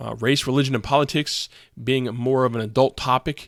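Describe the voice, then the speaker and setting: This very clean recording has a silent background and a dry, close sound with no echo. A man of medium pitch talks at a moderate pace with fairly even intonation. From Maryland, Prince George's County. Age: 30s. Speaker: podcast host. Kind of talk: solo podcast monologue. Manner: hesitant, many fillers.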